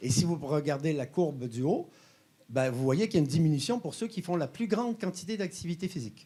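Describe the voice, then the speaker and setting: A man talks at a fairly quick clip, his dark, mellow voice pitched fairly high and his intonation lively. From Quebec. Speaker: health company co-founder and exercise scientist. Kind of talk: conference presentation. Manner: hesitant, many filler sounds.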